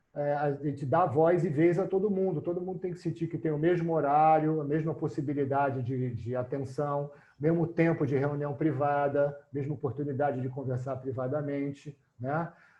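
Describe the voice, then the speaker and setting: Somewhat breathy, a man speaks in a fairly high pitch at a moderate pace. His intonation stays fairly even. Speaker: mediator and lecturer. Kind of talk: lecture.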